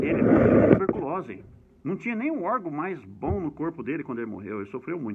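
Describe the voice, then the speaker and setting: With noticeable background noise behind him, a man talks at a fairly quick pace, his pitch swinging very widely. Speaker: history educator. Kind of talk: lecture. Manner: fast.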